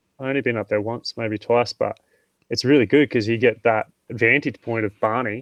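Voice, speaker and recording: A man talks with a strong Australian accent and fairly even intonation. The sound is dry and close, with no echo. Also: medium pitch for a man, moderate pace. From Tasmania, Australia. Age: 30s. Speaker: mountain training specialist. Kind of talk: podcast interview.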